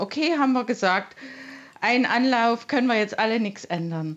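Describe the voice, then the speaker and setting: Her voice is high in pitch for a woman and makes very wide pitch swings. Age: 60s. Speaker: caller, mother. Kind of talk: phone-in testimony.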